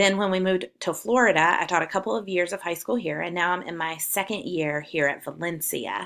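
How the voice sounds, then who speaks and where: A woman with a Southern US accent. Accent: Southern twang. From South Carolina. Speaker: college English professor. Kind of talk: course welcome video.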